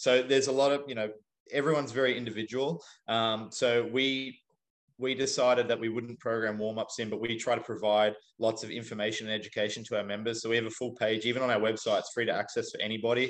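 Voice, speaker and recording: A man at medium pitch, very fast pace and monotone, flat intonation against a quiet background. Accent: Australian. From Australia. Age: 30s. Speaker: CrossFit athlete and fitness coach. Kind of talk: casual interview chat.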